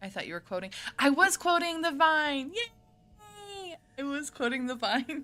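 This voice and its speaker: A woman with an American accent speaks in a raised, projected voice that is high, bright and sharp, with an animated tone. Her pace is fairly slow, while her pitch swings very widely and her loudness varies greatly. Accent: slight southern accent, sometimes comes out. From US South and Colorado. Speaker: gaming streamer. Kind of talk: let's play commentary.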